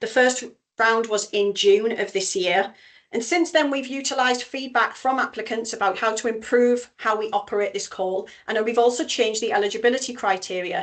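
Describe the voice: A fairly high-pitched woman's voice with a North East England accent. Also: ordinary pitch variation, moderate pace.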